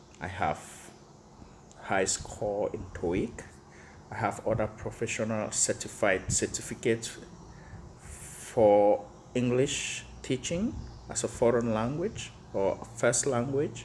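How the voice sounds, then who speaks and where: With vocal fry and a medium pitch, a man speaks at a very slow pace, leaving long, frequent pauses, his pitch varying in an ordinary way. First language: not English. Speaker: teacher. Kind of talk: rant to camera. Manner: animated.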